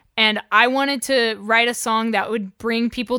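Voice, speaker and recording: Over a silent background in a very clean recording, a woman with an American accent speaks at a moderate pace. Her pitch is fairly high, in an unremarkable speaking voice. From Oklahoma, US. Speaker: freelance photographer, videographer and musician. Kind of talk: interview.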